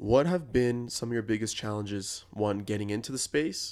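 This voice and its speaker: He has a plain, everyday voice and speaks at a moderate pace. His pitch variation is ordinary. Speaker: podcast host. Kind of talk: interview.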